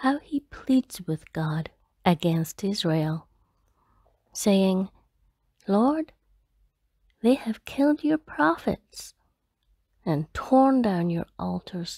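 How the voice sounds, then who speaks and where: Soft-spoken and very slow, a woman talks with long, frequent pauses and very wide pitch swings in a dry, close sound with no echo. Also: medium pitch for a woman. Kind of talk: bible reading. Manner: soft-spoken, slow; quiet.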